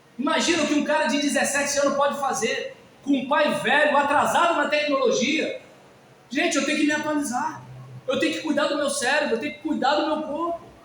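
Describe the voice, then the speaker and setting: Audible room echo surrounds a man whose pitch is extremely high, delivered fairly quickly with fairly even intonation. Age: 50s. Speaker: pastor. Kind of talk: sermon. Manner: conversational, informal.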